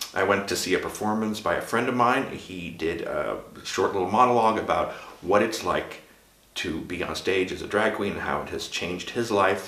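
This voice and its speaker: At a moderate pace, a man with an American accent and fairly low pitch speaks with ordinary pitch variation, with audible room echo and noticeable background noise. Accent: American accent, adopted. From Sweden. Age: 50s. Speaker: drag performer and vlogger. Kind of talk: casual vlog monologue. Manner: halting, with fillers.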